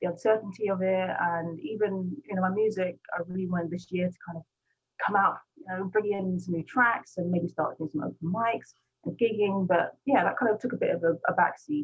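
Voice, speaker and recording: A woman talks at a fairly quick pace with a British accent. Her pitch is medium. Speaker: gospel rapper. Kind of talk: interview. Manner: fast.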